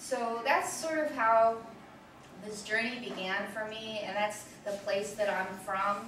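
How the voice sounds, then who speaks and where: Fairly high pitch from a woman, with audible room echo and noticeable background noise. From Delaware, Chesapeake Bay family. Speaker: activist lecturer. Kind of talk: lecture.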